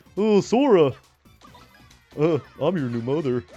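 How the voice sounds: A put-on character voice at a middle pitch comes through with faint music in the background. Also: moderate pace.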